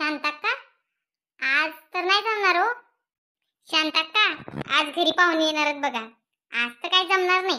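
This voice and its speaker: A squeaky, cartoonish character voice from a woman, extremely high in pitch, with ordinary pitch variation and a moderate pace, on a very clean recording with a silent background. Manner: polite, respectful.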